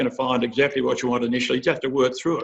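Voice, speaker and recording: The speaker is a man with an Australian accent. His pitch sits at a medium level and varies in an ordinary way. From Australia, rural western New South Wales. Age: 60s. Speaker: agricultural industry chief executive. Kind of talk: career advice talk. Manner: halting, many fillers.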